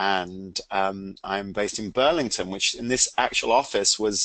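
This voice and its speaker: A man speaks with an English accent. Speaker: CEO and product owner of a training organization. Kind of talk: webcast presentation.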